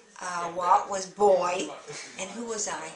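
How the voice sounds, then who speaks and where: Noticeable background noise accompanies a woman speaking at a medium pitch with fairly even intonation. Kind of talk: interview answer, personal reminiscence.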